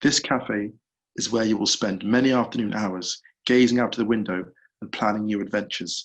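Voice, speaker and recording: A man speaks at a fairly quick pace with a fairly low pitch. His intonation stays fairly even. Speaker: author. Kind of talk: reading aloud. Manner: quiet.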